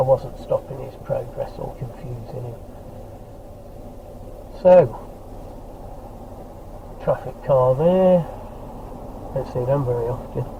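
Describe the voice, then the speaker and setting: A man with a British accent, medium pitch and ordinary pitch variation, at a fairly slow pace with long, frequent pauses and big swings in loudness, over noticeable background noise. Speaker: driver giving running commentary. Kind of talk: driving commentary. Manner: calm, matter-of-fact.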